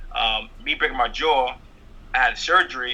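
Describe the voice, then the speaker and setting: A man talks with a New York accent. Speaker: stand-up comedian. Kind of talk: interview.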